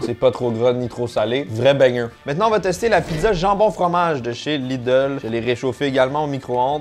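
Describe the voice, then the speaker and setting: Amid noticeable background noise, a man with a Quebec accent talks at a moderate pace. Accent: Québécois French. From Quebec, Canada. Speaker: food tasting YouTuber. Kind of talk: casual talk to camera, food tasting vlog.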